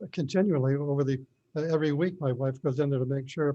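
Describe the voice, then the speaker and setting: This man's voice is fairly high in pitch and somewhat breathy, with a dark, mellow tone, fairly even intonation and a fairly quick pace. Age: 80s+. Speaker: property owner at hearing. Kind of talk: informal court hearing testimony. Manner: halting.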